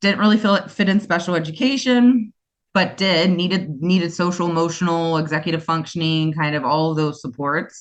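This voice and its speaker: A woman with a US East Coast accent, fairly low-pitched, at a moderate pace with ordinary pitch variation. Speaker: special education school founder. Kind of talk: interview. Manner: animated.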